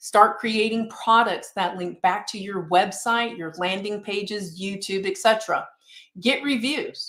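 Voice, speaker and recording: A plain, everyday voice from a woman at medium pitch, with ordinary pitch variation, big swings in loudness and a fairly slow pace. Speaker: realtor and marketing instructor. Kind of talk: webinar presentation.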